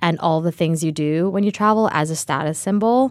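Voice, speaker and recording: A woman has an ordinary speaking voice with a fairly low pitch and a General American accent. She talks at a moderate pace with ordinary pitch variation. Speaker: startup co-founder. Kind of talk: interview conversation.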